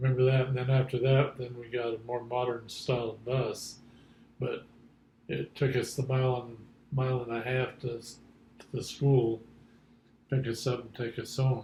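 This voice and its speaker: A man with an American accent, somewhat breathy at medium pitch, moderate pace, monotone, flat intonation and big swings in loudness. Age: 70s. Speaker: grandfather interviewed about his life. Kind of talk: oral history interview. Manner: halting.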